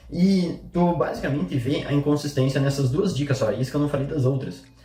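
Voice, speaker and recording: Over noticeable background noise, a man speaks at fairly high pitch with ordinary pitch variation. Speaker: online marketing coach. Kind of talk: vlog commentary.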